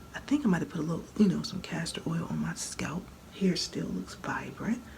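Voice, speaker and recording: The speaker is quiet and talks at a moderate pace. Noticeable background noise runs under the voice. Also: woman. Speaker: hair care vlogger. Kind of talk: casual tutorial vlog. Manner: low, quiet voice; conversational, repetitive.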